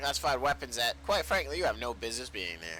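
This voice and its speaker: Putting on a booming, gruff character voice at a medium pitch, a man races along at a very fast pace with very wide pitch swings while background noise is clearly heard. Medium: read story. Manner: gruff, commanding.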